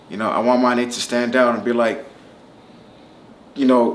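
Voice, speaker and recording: A man with an American accent at a fairly quick pace, with audible room echo and noticeable background noise. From Southern California (Palmdale). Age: 30s. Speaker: rapper. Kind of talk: casual interview. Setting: Las Vegas. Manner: casual, with fillers and repetitions.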